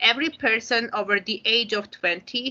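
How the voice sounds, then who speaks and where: A woman's fairly high voice with an Armenian accent, bright and sharp in tone, with ordinary pitch variation at a moderate pace. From Armenia, Yerevan. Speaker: English teacher and psychologist. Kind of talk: conference presentation.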